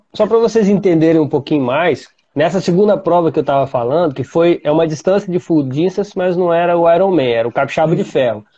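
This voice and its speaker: A man speaks at a high pitch and a fairly quick pace, with hardly any pauses. His loudness stays very even. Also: ordinary pitch variation. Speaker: podcast host, triathlete. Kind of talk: casual chat.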